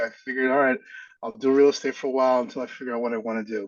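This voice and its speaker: This man talks at a very fast pace in a New York accent. His intonation stays fairly even. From Brooklyn, New York. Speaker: realtor. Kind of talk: casual interview.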